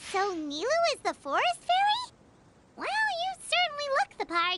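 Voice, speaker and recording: This is a squeaky, put-on character voice. Its pitch is extremely high. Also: moderate pace. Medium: video game. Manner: chatty, upbeat.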